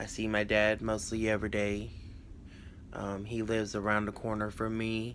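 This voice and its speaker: In a South Carolina accent, a man with a fairly low pitch speaks at a moderate pace in a monotone, flat intonation, with audible room echo. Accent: South Carolina Southern US. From US South, North Charleston, South Carolina. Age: 20s. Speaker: crafting YouTuber. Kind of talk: casual personal vlog. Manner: halting, many fillers.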